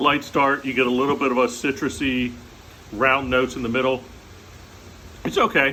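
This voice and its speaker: A man speaks in a bright, sharp tone with monotone, flat intonation. His loudness stays very even, broken by long, frequent pauses. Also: medium pitch for a man. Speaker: comedian vlogger. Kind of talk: casual monologue. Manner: fast.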